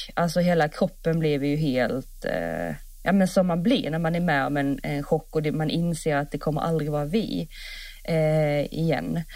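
The recording is very clean, with a silent background. A woman with a very deep, low pitch talks at a moderate pace with ordinary pitch variation. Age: 30s. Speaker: podcast co-host, horse rider. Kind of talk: casual chat.

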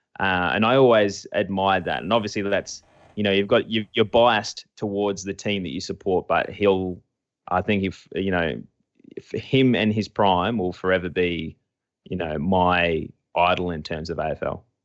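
A man with a normal speaking voice, fairly low in pitch, at a moderate pace with ordinary pitch variation. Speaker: podcast co-host and site founder. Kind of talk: casual interview.

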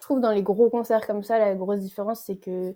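A woman speaks with a dark, mellow tone. Her pace is fairly quick. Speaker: student. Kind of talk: casual interview.

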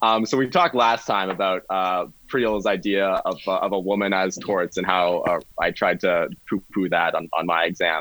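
With a Canadian accent, a man has an ordinary speaking voice, speaking at a moderate pace in a fairly low pitch with fairly even intonation and very even loudness. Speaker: law student. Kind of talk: casual chat.

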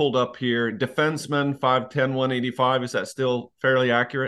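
A man with a normal speaking voice and a fairly high pitch talks at a fairly slow pace. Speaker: podcast host. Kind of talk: casual interview conversation.

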